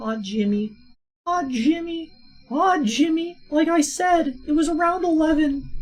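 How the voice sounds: A put-on character voice, high in pitch, delivers lines at a fairly slow pace.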